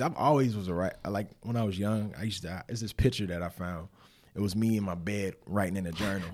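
A man with a Southern US accent, fairly low in pitch, talking at a very fast pace on a very clean recording with a silent background. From Winston-Salem, North Carolina, US South. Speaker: former pro football player, nonprofit director. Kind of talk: casual interview.

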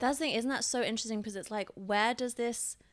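In a very clean recording with a silent background, a woman speaks with a British accent and ordinary pitch variation. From Britain. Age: 30s. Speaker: podcast co-host. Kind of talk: casual chat.

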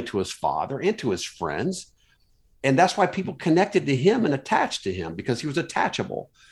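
A man's voice with vocal fry and very wide pitch swings at a fairly quick pace, on a very clean recording with a silent background. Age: 60s. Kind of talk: casual faith interview. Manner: halting, many fillers and restarts.

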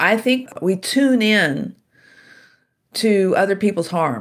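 With an American accent and vocal fry, a woman speaks at a very slow pace. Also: very clean recording, silent background. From US South, Shreveport, Louisiana. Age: 60s. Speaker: author and keynote speaker. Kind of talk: interview.

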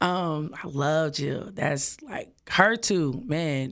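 A woman's very deep, low voice with an American accent and ordinary pitch variation. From Dallas, Texas (Oak Cliff). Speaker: singer and event planner. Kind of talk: casual interview. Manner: animated.

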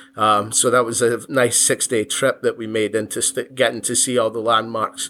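In a bright, sharp tone, a man talks at a moderate pace with fairly even intonation. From Scotland, Giffnock near Glasgow. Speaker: contractor, business owner. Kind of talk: casual interview chat. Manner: hesitant, many fillers.

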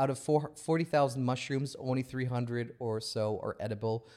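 A medium-pitched man with an American accent, at a moderate pace and with fairly even intonation. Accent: American-sounding accent picked up from TV. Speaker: podcast host. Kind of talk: casual conversation.

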